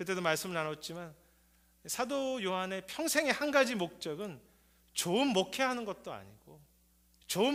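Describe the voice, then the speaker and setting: A man's high-pitched voice at a moderate pace, with very wide pitch swings and audible room echo. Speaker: pastor. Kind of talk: sermon.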